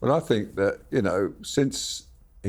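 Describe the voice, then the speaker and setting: A man with an English accent. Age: 80s+. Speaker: royal photographer. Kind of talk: casual chat.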